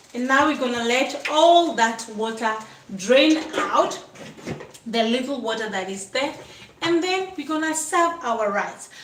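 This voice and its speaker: Amid noticeable background noise and audible room echo, a woman with a high voice speaks in an animated tone at a fairly slow pace, her intonation lively. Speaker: cooking channel host. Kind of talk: cooking tutorial.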